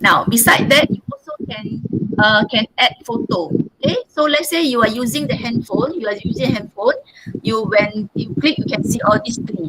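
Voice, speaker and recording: A woman at a fairly high pitch with very wide pitch swings and a moderate pace. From Malaysia. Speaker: teacher. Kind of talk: tutorial. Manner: halting.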